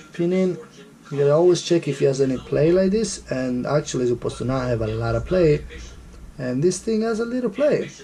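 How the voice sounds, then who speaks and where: A man with an Italian accent, fairly high pitch, lively intonation and a fairly quick pace. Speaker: scooter mechanic. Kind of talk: DIY repair tutorial. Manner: casual, hesitant.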